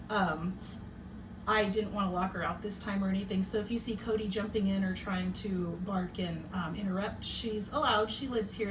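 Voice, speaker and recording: A woman is speaking with audible room echo. There is noticeable background noise. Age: 40s. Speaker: podcast host. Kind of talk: casual chat. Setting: home bedroom. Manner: loud.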